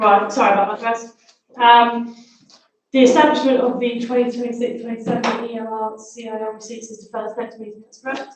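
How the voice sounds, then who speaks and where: Her fairly high voice stays monotone and flat while the loudness swings widely, and this woman is heard with audible room echo. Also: fairly quick pace. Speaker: council meeting chair. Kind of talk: formal meeting chairing. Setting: council chamber, livestreamed. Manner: fast; quiet.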